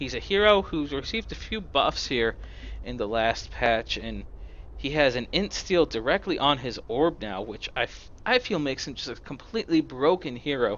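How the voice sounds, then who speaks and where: The man talks at a moderate pace. His loudness rises and falls in big swings. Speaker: esports caster. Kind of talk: live commentary. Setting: live stream.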